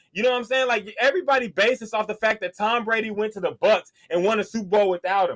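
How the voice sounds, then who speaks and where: Loud and high-pitched, a man talks at a very fast pace with hardly any pauses. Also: ordinary pitch variation, dry, close sound with no echo. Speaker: sports podcast co-host. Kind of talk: heated debate. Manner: animated.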